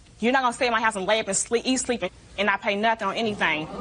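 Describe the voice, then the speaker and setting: Amid noticeable background noise, a woman with a fairly high pitch and ordinary pitch variation talks at a very fast pace. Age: 20s. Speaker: defendant in small claims court. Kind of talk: courtroom testimony. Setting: TV courtroom.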